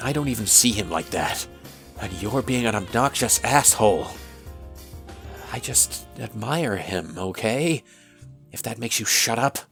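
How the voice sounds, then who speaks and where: A woman does a put-on character voice with a very deep, low pitch while clear music plays in the background. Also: moderate pace. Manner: irritated, defensive.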